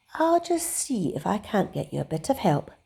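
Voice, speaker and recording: A woman with a Scottish accent, fairly high in pitch and dark and mellow in tone, with very wide pitch swings at a moderate pace. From Scotland. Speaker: artist. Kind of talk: bedtime story reading. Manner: cheery.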